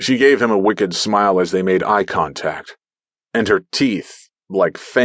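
A quiet background sits behind the speaker. The voice reads naturally.

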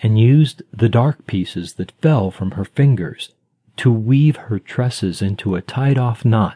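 Someone is doing plain reading aloud, and the background is quiet.

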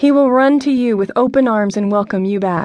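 A woman with a fairly high pitch talks at a moderate pace against a quiet background. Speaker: audiobook narrator. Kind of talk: scripted audiobook narration, devotional. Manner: dramatic, earnest, intimate; tender, directly addressing listener, pacing builds to urgent run.

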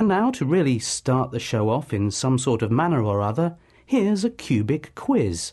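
Somewhat breathy and dark, mellow in tone, the voice moves at a moderate pace with very wide pitch swings and very even loudness over a quiet background. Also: man, medium pitch for a man. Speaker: comedian and broadcaster. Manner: formal pseudo-documentary tone with straight-faced nonsense.

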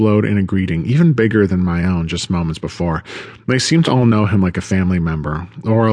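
The passage is read in an unforced reading voice.

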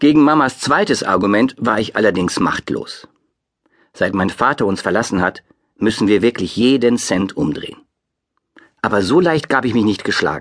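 A man's medium-pitched voice with lively intonation, a moderate pace and long, frequent pauses. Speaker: audiobook narrator. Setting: studio.

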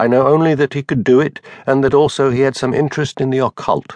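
A man with a normal speaking voice. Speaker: audiobook narrator. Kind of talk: scripted narration of a fictional elderly actor's bawdy memoir, first person. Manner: wry, conspiratorial old raconteur relishing lurid childhood details.

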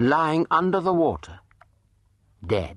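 In a dramatic tone, a man with vocal fry speaks at a very slow pace against a quiet background. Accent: British. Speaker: audiobook narrator. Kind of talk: dramatic narration of true crime, with acted-out dialogue. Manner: dramatic, sly and sardonic, shifting into mock-suave and coy voices for the dialogue.

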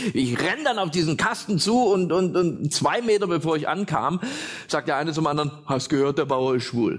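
A man with a fairly high voice speaks in an animated, playful tone with lively intonation. Noticeable background noise is present. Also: moderate pace, very even loudness. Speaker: stand-up comedian. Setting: stage with audience. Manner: animated, punchline-driven, pausing for laughs; self-deprecating, playful storyteller doing voices.

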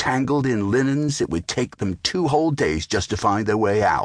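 An ordinary speaking voice from a man, with lively intonation and a moderate pace in a dry, close sound with no echo. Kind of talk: scripted audiobook narration of a children's tall tale.

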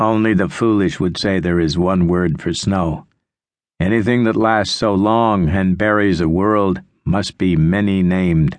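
A dramatic tone with fairly even intonation, very even loudness, and a fairly slow pace against a quiet background. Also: man, very deep, low pitch for a man. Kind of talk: audiobook narration. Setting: studio. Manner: slow, measured, dramatic, hushed.

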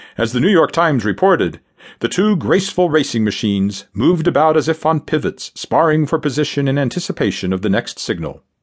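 A dramatic male voice, fairly high in pitch, with vocal fry, very wide pitch swings, a fairly quick pace and very even loudness, over a quiet background. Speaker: audiobook narrator. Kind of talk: scripted narration, audiobook history reading. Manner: dramatic, vivid, steady-paced storytelling; formal, measured.

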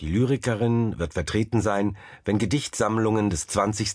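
In an unremarkable speaking voice, a man talks at a fairly slow pace with a fairly low pitch. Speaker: author and literary critic narrator. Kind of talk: literary essay read aloud, audiobook narration. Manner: formal, measured.

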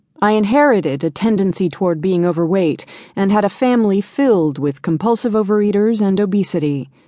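A woman's warm, dark, mellow voice at a medium pitch, fairly quick, with lively intonation, very even loudness and a quiet background. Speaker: audiobook narrator. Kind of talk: audiobook reading of a first-person memoir, scripted narration. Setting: studio. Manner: steady, warm, earnest storytelling pace; reflective, confiding, slightly rueful.

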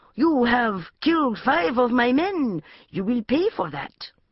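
A woman puts on a growling character voice, pitched high and delivered at a fairly slow pace. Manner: snarling, threatening.

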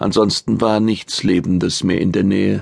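A man speaks at a very deep, low pitch with vocal fry and ordinary pitch variation. His pace is moderate, and the sound is dry and close with no echo. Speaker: audiobook narrator. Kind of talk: dramatic audiobook narration of sci-fi action, reading aloud. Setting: studio.

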